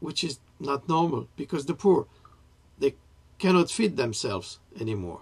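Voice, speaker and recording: A man with a fairly high pitch speaks at a moderate pace, with very wide pitch swings and long, frequent pauses. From France. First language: French. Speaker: writer and political commentator. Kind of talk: political monologue to camera. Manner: halting, with self-corrections.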